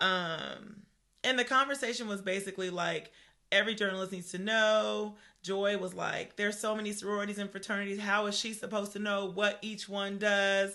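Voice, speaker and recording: A woman's animated, fairly quick voice at a medium pitch, with a bright, sharp tone. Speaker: podcast co-host. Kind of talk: casual chat. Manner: conversational, animated.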